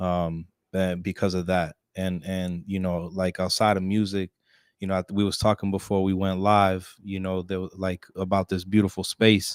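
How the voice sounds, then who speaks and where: In an American accent, a man with a very deep, low pitch speaks at a moderate pace in a monotone, flat intonation, the sound dry and close with no echo on a very clean recording with a silent background. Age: 20s. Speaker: musician and poet. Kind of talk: casual interview chat. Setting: studio live stream.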